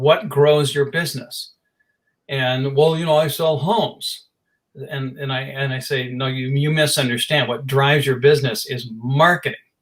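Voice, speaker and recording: With an ordinary speaking voice, a man talks at a moderate pace, his pitch fairly high and its variation ordinary. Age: 60s. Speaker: marketing business owner. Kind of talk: interview.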